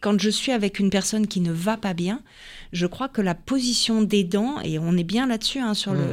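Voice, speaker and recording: A woman with a normal speaking voice speaks at medium pitch and a moderate pace. Her pitch varies in an ordinary way, and the recording is very clean with a silent background. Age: 50s. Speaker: health coach and former ballet dancer. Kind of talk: radio interview.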